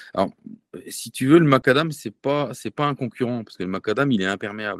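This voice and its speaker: Over a silent background on a very clean recording, a man talks with lively intonation. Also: dry, close sound with no echo. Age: 40s. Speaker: entrepreneur. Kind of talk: interview. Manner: halting.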